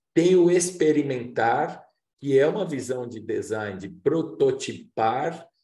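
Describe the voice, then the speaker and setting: Speech comes at a very slow pace with audible room echo. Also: man. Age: 60s. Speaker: workshop facilitator. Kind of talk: lecture.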